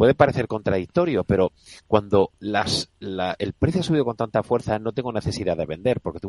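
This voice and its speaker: A man with fairly low pitch and lively intonation at a fairly quick pace, in a dry, close sound with no echo. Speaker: fund manager. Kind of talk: radio interview.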